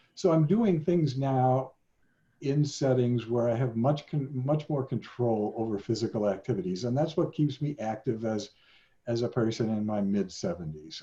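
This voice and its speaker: This man's voice is medium in pitch, somewhat breathy, and dark and mellow in tone. He speaks at a moderate pace with lively intonation. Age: 70s. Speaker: sociology professor emeritus. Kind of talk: interview. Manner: halting.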